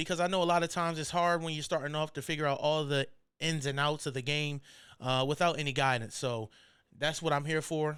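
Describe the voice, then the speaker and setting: On a very clean recording with a silent background, a man with an American accent and a normal speaking voice talks fairly quickly at a fairly high pitch with ordinary pitch variation. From Maryland Eastern Shore (Salisbury). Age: 20s. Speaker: barber and podcast host. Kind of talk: casual podcast monologue. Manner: laid-back, conversational.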